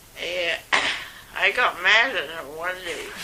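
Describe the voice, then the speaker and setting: Her intonation is lively as this woman speaks at a very slow pace. Noticeable background noise is present. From Scotland. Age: 80s+. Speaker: retired nurse. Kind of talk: interview answer.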